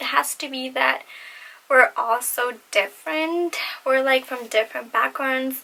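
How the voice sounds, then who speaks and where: A woman projects her raised voice at a moderate pace. Her tone is bright and sharp, and her pitch sits high. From Latin American heritage. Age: 20s. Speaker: beauty and fashion vlogger. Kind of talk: casual Q&A vlog. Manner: awkward, lots of fillers.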